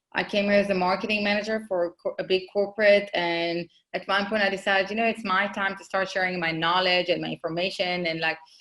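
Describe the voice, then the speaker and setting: With an Israeli accent, a woman speaks at a medium pitch in a monotone, flat delivery, very fast and with hardly any pauses. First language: Hebrew. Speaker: marketing consultant, business owner. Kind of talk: podcast interview.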